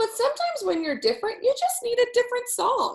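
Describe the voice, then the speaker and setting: A woman's squeaky, extremely high-pitched put-on character voice. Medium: read story. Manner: gentle.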